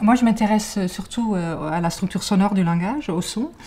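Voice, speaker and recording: In a slight Dutch accent, a woman talks at a fairly slow pace with a dark, mellow tone and ordinary pitch variation. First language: Dutch (speaking French). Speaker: cognitive science researcher. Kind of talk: interview. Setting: library. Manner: many hesitations (euh).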